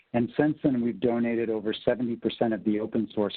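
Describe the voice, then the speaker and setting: A man with an American accent, medium pitch, a fairly quick pace, and a plain, everyday voice. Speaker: tech company sales executive. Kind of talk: webinar presentation.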